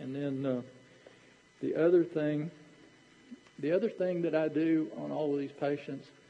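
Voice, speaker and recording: A man with a Southern US accent and a dark, mellow tone speaks at a fairly slow pace with fairly even intonation and long, frequent pauses. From Tennessee. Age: 60s. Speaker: dentist. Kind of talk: lecture. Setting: stage with audience. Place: hall.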